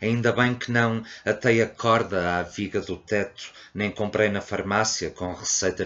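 A man has an ordinary speaking voice with a fairly low pitch. He moves at a fairly slow pace with ordinary pitch variation. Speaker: poetry reader. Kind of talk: poetry reading aloud, intimate and confessional.

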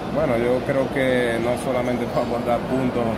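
A man speaks at a fairly quick pace while loud background noise fills the recording. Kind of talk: interview answer. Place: stadium. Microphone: phone near.

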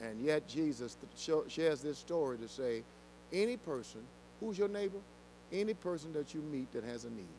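A man speaks at a moderate pace with a fairly high pitch and very wide pitch swings. His tone is dark and mellow over light background noise. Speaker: senior pastor teaching Bible study. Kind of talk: Bible study teaching. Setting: church with congregation. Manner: passionate, preacher-like. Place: church. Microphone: handheld.

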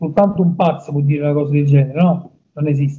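Against a quiet background, a man speaks very fast with monotone, flat intonation. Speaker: interviewee. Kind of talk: interview answer. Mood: indignant, emphatic. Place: office. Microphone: video call.

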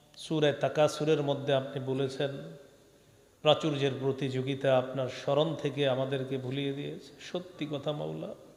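Fairly high-pitched man's voice with audible room echo and noticeable background noise. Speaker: Islamic preacher. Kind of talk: sermon. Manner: animated.

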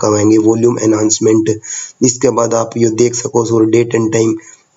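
Monotone, flat intonation amid noticeable background noise. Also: man. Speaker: computer teacher. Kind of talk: computer tutorial.

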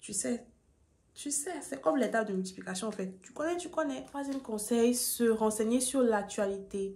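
With a fairly high pitch, a woman speaks at a moderate pace, making very wide pitch swings and big swings in loudness. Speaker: YouTuber, student giving admissions advice. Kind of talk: vlog tutorial. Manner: calmer than usual, low energy.

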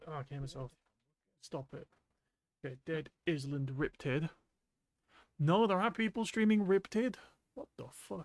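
Somewhat breathy, a man speaks at a moderate pace. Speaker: streamer. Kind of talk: casual gameplay commentary. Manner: monotone.

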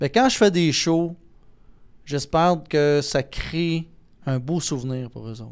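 A man speaks very slowly in a Quebec accent, with fairly high pitch. His loudness swings widely, and he leaves long, frequent pauses. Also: ordinary pitch variation. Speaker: entertainer and impressionist. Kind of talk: casual interview conversation.

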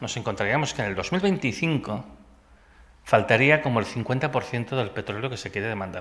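A man speaks at a fairly slow pace with lively intonation. His tone is bright and sharp. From Catalonia, Empordà; Catalonia. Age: 50s. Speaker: physicist and energy researcher; invited lecturer. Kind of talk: audience Q&A answers; lecture. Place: hall. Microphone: podium.

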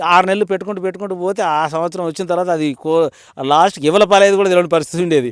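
This man has a high-pitched voice with ordinary pitch variation. The sound is dry and close, with no echo. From Telangana, Warangal district. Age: 60s. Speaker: farmer. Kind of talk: interview.

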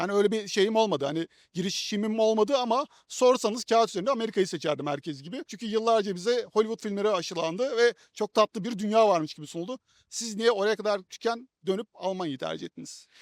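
Speaking at a very fast pace, a man uses a high pitch with ordinary pitch variation and big swings in loudness. The sound is dry and close with no echo, on a very clean recording with a silent background. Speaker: YouTuber. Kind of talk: interview. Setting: outdoors.

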